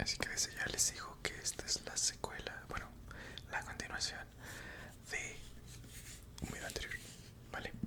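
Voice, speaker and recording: Someone whispers at a moderate pace, leaving long, frequent pauses. Noticeable background noise runs underneath. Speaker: ASMR creator. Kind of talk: casual talk to camera. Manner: whispered.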